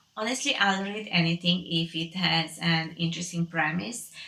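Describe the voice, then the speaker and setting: A woman with a Romanian accent talks at a medium pitch and a moderate pace amid noticeable background noise. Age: 20s. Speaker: book vlogger. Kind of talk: casual talk to camera. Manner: hesitant.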